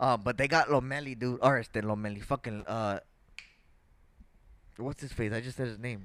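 A man speaks at medium pitch with a fairly bright tone. His intonation stays fairly even at a moderate pace.

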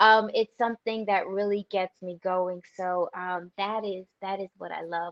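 With a New Jersey accent, a woman speaks at a medium pitch and a fairly slow pace, hardly pausing, her intonation flat and monotone while her loudness swings widely. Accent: New Jersey American. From southern New Jersey. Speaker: author. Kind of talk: testimony.

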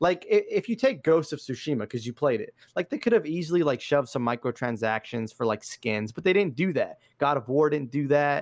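A man with an ordinary speaking voice and an American accent talks at a fairly quick pace with a fairly high pitch and lively intonation, in a very clean recording with a silent background and a dry, close sound with no echo. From Los Angeles, US. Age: 30s. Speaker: gaming content creator. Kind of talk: casual chat.

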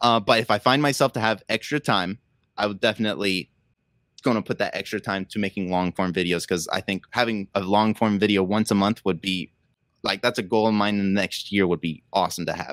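A plain, everyday voice: a man with fairly low pitch and fairly even intonation, talking at a fairly quick pace. The sound is dry and close with no echo, in a very clean recording with a silent background. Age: 20s. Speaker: Lego builder and content creator. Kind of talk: casual chat. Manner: fast.

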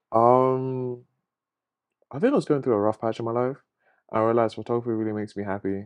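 Using a southern English accent, a man talks at a very fast pace and a medium pitch with fairly even intonation and long, frequent pauses. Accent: English, southern England. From England, Luton. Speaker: photographer. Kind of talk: casual chat. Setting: home recording.

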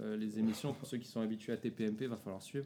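A man's dark, mellow voice at a very fast pace. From Paris region (Seine-Saint-Denis). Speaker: podcast host. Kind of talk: casual chat. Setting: at a table with friends.

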